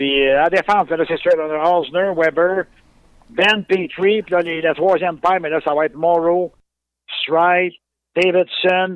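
A man with a Quebec accent speaks at a fairly slow pace in a high pitch, his intonation fairly even. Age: 50s. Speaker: sports fan. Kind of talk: interview. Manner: halting.

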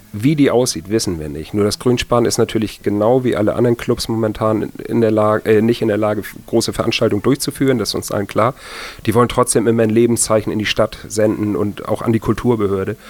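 Speaking very fast, a man holds a medium pitch. His intonation stays fairly even. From northern Germany, village near Kiel. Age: 40s. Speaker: soul event organizer and record collector. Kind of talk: casual interview. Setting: living room at home.

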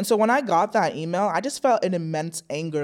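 Using a plain, everyday voice, a woman with a fairly low pitch talks at a fairly quick pace on a very clean recording with a silent background. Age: 20s. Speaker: clinical psychology student. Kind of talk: casual chat.

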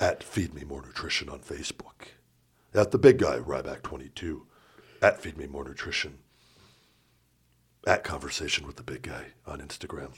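Putting on a raspy character voice, a man speaks at a moderate pace with very deep, low pitch, ordinary pitch variation and long, frequent pauses. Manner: plugging social accounts.

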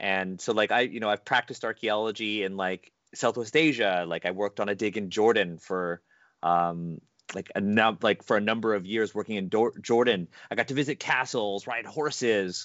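A man with an unremarkable speaking voice talks fairly low, at a moderate pace, with ordinary pitch variation. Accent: Canadian. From Canada. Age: 30s. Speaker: podcast host and game designer. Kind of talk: casual chat.

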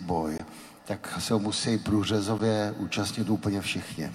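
The speaker moves at a fairly slow pace. Pitch varies in an ordinary way. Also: man. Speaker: Velvet Revolution participant and author. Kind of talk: panel discussion before live audience. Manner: hesitant with many fillers.

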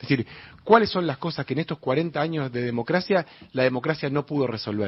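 Somewhat breathy, this man speaks at a fairly quick pace with a fairly high pitch. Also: lively intonation. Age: 30s. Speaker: mayoral candidate, politician. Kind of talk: radio interview. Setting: studio.

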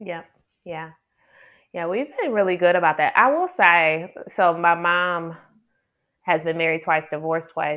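In an American accent, a woman with a fairly low pitch speaks at a fairly slow pace, with fairly even intonation and long, frequent pauses. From Detroit, Michigan, US Midwest. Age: 40s. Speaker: public health doctor and women's coach. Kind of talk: interview conversation.

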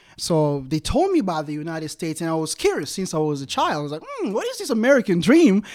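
A man with a Congolese accent talks very fast at a high pitch, with hardly any pauses. His intonation is lively, and noticeable background noise runs underneath. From Democratic Republic of the Congo. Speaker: evangelist. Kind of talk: interview. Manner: laughs often.

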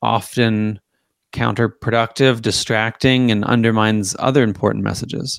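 On a very clean recording with a silent background, a man uses a plain, everyday voice at medium pitch and with fairly even intonation. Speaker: political commentator and author. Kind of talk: casual interview chat.

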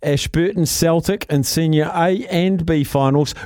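A man with a fairly high pitch talks at a fairly slow pace, his slightly mellow tone showing ordinary pitch variation.

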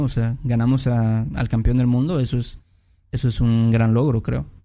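In a Mexican accent, a man with a dark, mellow tone and medium pitch speaks at a moderate pace on a very clean recording with a silent background. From Mexico. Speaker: podcast host. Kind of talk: casual chat.

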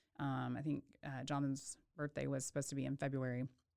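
A woman speaks with an American accent. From Texas, Waco. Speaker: obstetrician. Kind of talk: casual interview. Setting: studio.

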